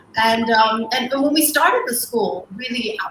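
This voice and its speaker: A woman at a moderate pace with ordinary pitch variation and noticeable background noise. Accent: Cantonese. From Hong Kong. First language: Cantonese. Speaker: school co-founder. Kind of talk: interview. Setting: livestream.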